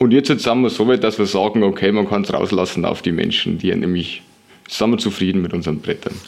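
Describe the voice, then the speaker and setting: Talking fairly quickly over noticeable background noise, a man keeps a fairly low pitch that varies in an ordinary way. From Lower Bavaria, Germany. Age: 20s. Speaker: longboard maker. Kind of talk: interview. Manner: hesitant with frequent fillers.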